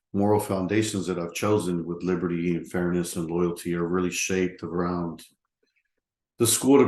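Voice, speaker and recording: Audible room echo surrounds a man with a very deep, low pitch who speaks at a moderate pace. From Texas. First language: Spanish. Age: 40s. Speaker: counseling student. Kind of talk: recorded class assignment talk. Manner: casual with many fillers.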